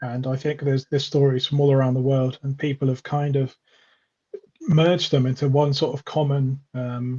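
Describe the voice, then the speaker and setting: A man speaks in a fairly high pitch with a dark, mellow tone and a somewhat breathy quality. His intonation is monotone and flat, in a dry, close sound with no echo. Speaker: independent researcher. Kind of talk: interview chat. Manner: fast.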